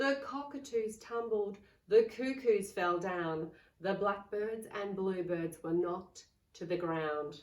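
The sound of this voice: Speaking slowly at a medium pitch, a woman is heard with audible room echo. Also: ordinary pitch variation.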